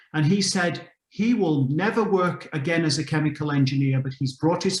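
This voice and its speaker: The speaker has an English accent. The pace is moderate. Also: man. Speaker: mentor on a panel. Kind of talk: panel discussion.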